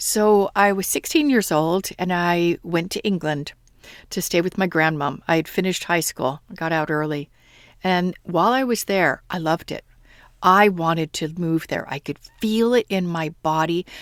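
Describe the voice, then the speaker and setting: In an American accent, a woman with an unremarkable speaking voice talks at a moderate pace and fairly low pitch with ordinary pitch variation, the recording very clean with a silent background and a dry, close sound with no echo. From United States. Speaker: podcast host and manifestation coach. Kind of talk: solo podcast monologue.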